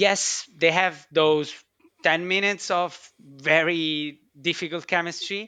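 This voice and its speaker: Very slowly, a man with a non-native accent speaks at a high pitch in a bright, sharp tone with monotone, flat intonation. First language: not English. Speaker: chemistry researcher. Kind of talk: casual chat.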